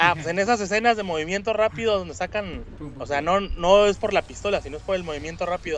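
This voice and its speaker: At a very fast pace, a man speaks in a high pitch. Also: ordinary pitch variation. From Mexico, Monterrey. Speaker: video game podcast guest. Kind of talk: casual chat.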